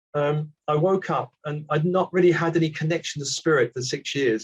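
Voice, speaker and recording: With a British accent, a man speaks at a moderate pace in a somewhat breathy voice. His intonation stays fairly even. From Britain. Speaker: spiritual teacher. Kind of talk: casual chat. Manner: halting.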